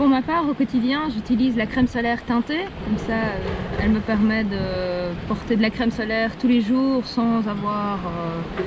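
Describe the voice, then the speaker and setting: Noticeable background noise sits behind this woman. She talks at a fairly slow pace in a fairly high pitch, with ordinary pitch variation. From Belgium, south of Brussels. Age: 30s. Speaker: sailor. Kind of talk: scripted testimonial.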